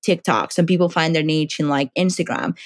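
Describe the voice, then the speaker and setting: In a very clean recording with a silent background and a dry, close sound with no echo, a woman with a Spanish accent speaks at a moderate pace in a fairly low pitch. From Dominican Republic. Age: 20s. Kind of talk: interview conversation.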